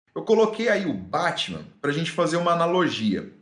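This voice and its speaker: A man speaks at a high pitch with lively intonation. Audible room echo is present. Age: 30s. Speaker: environmental fauna consultant. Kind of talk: casual talk to camera, presentation; casual vlog chat. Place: home room. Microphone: phone near.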